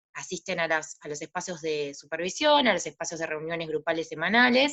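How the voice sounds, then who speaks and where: At a fairly quick pace, a woman talks with a fairly low pitch and ordinary pitch variation. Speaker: psychologist and practicum supervisor. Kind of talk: panel talk. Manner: halting.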